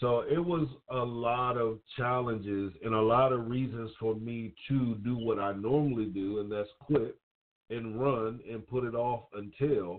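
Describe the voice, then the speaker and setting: Intonation stays fairly even. The pace is fairly slow. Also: man, medium pitch for a man. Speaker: podcast host. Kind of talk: solo monologue. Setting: home studio. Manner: stumbles over words.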